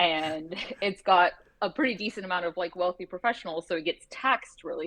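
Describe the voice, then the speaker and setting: A woman's normal speaking voice, fairly low in pitch and fairly quick, with a dry, close sound with no echo. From Canada. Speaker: lawyer. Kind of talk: casual chat.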